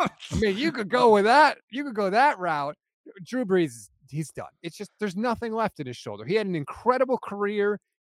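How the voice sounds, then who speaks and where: Speaking at a fairly quick pace, a man with a high pitch swings very widely in pitch and loudness varies a lot, all in a dry, close sound with no echo. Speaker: football podcaster and fan. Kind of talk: casual banter about football.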